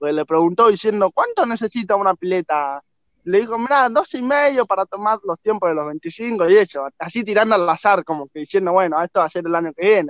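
The man talks fairly quickly in a high voice with lively intonation. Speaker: paralympic swimmer. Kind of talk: interview.

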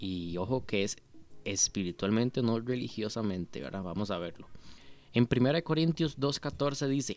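Using a plain, everyday voice, a man at medium pitch talks at a fairly slow pace with lively intonation. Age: 20s. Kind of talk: devotional talk. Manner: casual.

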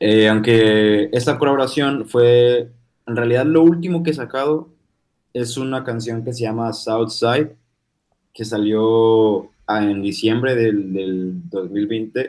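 Here a man speaks at a very slow pace. His pitch sits in the medium range. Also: ordinary pitch variation. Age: 20s. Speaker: rapper. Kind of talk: interview.

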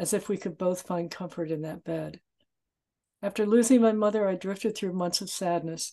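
A woman with a plain, everyday voice talks at a moderate pace and a medium pitch. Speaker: memoir author. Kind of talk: reading aloud and interview.

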